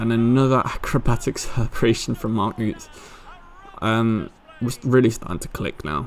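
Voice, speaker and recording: A man's moderately paced speech amid noticeable background noise. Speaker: gaming commentator. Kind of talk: casual gameplay commentary.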